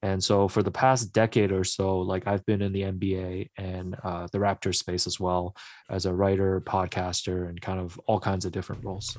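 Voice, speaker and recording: A man with a Canadian accent and a very deep, low pitch speaks in a monotone, flat way with hardly any pauses, in a very clean recording over a silent background. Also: moderate pace. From Hong Kong, then Markham, Ontario. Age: 30s. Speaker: sports journalist and author. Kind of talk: radio interview.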